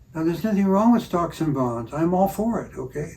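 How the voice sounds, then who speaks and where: A man with an American accent, a dark, mellow tone and a somewhat breathy sound, fairly quick in pace, with audible room echo. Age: 80s+. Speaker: retired doctor. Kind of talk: reflective interview conversation. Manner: halting, with frequent repetitions.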